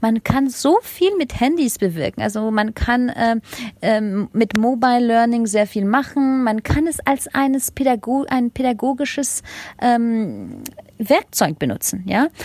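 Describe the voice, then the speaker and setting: A woman's fairly high-pitched voice at a fairly slow pace, with ordinary pitch variation and a dry, close sound with no echo. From Germany and France. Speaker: education consultant and startup founder. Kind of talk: interview. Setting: remote call. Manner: hesitant, many fillers.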